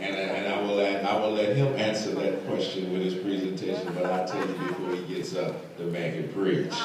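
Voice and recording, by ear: The room echo is strong. The pace is moderate. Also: man.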